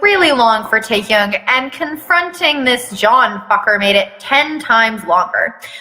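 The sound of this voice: This unforced reading voice has lively intonation.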